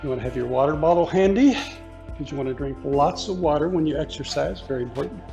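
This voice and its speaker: Music plays in the background and room echo is audible as the voice rushes at a very fast pace with lively intonation. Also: man, fairly high pitch for a man. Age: 70s. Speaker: yoga teacher. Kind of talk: guided exercise class.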